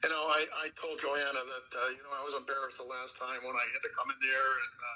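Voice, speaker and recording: Noticeable background noise sits under a man's fairly high-pitched voice as he talks fairly quickly. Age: 60s. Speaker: farmer. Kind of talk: public meeting.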